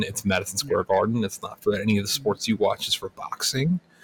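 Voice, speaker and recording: Somewhat breathy, a man rushes along at a very fast pace. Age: 30s. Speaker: podcast co-host. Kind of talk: casual chat.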